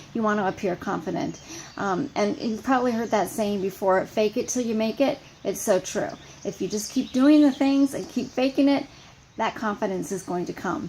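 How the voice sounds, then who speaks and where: This woman speaks with lively intonation at a fairly high pitch. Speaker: fitness coach. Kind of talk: team training call. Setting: outdoors on front porch. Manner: fast.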